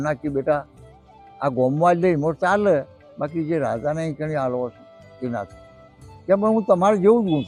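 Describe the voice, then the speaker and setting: Music plays in the background as a man with a fairly high pitch and lively intonation speaks with big swings in loudness. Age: old. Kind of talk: folk tale storytelling.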